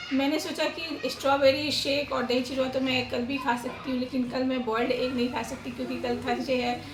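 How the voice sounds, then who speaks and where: Room echo is audible and background noise is noticeable. A woman speaks at a high pitch and a moderate pace. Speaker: family vlogger. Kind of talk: casual vlog talk.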